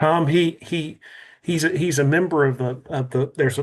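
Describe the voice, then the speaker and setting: In a Texan accent, a man talks at a fairly quick pace with fairly even intonation. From south Texas (Cuero). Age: 60s. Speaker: museum representative. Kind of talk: video call interview. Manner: halting, repetitive.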